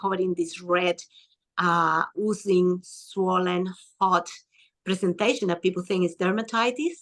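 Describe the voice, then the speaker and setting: Speaking with a non-native accent, a woman keeps a moderate pace and a medium pitch. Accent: foreign. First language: not English. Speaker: skin and hormone health practitioner. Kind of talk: interview.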